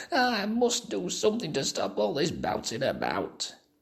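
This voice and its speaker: Squeaky put-on character voice from a man at a moderate pace. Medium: read story. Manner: fretful.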